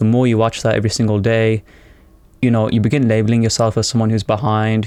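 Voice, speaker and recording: This man's voice sits fairly low, with a dark, mellow tone and a monotone, flat intonation. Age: 20s. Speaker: self-improvement vlogger. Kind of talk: unscripted monologue. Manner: rambling; casual.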